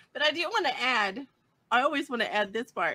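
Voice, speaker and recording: Her bright, sharp tone carries lively intonation as the woman speaks in a dry, close sound with no echo. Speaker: conference co-host. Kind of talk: casual conference chat.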